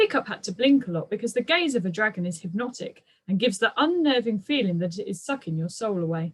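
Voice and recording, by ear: The voice reading aloud sounds natural. Its intonation rises and falls in a lively way.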